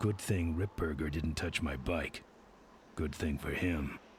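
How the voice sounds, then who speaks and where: A man's put-on character voice, raspy and deadpan, with very deep, low pitch, a fairly slow pace, and clear background noise. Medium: video game. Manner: terse, gruff, deadpan.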